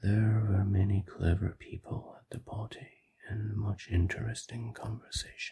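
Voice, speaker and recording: The speaker is soft-spoken. The delivery is moderately paced. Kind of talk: classic short story audiobook reading. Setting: recorded in a car while driving. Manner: soft-spoken, ASMR.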